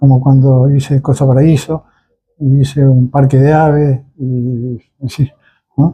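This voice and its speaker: Very slowly and in a flat monotone, a man speaks in a somewhat breathy, medium-pitched voice with a dark, mellow tone. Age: 80s+. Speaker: cultural center founder. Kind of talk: interview. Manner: halting.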